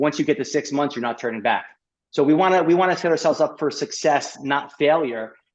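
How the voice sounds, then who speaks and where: Against a quiet background, a man with an American accent talks in a fairly high voice with ordinary pitch variation. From New York. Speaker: gut health specialist and chiropractor. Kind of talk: podcast interview. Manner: fast.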